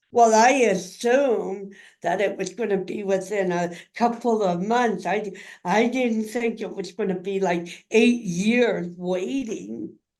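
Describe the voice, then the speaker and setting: A woman at a medium pitch with ordinary pitch variation, at a fairly slow pace, with audible room echo. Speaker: community advocate and caregiver in a wheelchair. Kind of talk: interview, personal story.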